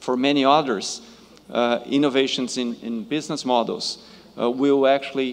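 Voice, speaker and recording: Fairly slow delivery in a Brazilian accent. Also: man. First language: Portuguese. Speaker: panel moderator, innovation manager. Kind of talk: moderating a conference panel. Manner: halting, many fillers.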